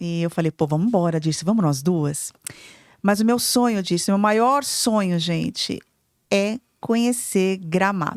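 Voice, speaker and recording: On a very clean recording with a silent background, a woman with a medium pitch speaks in an animated tone at a moderate pace, with ordinary pitch variation. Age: 50s. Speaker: podcast co-host, entrepreneur and mentor. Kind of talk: casual podcast chat.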